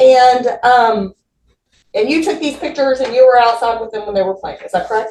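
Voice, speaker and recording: A loud, high-pitched woman at a fairly quick pace. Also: ordinary pitch variation. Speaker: defense attorney. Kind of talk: courtroom examination.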